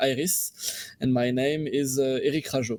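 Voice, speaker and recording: A man at a medium pitch and a fairly slow pace. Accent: French. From France. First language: French. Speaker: game studio CEO and lead developer. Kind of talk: interview. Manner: halting.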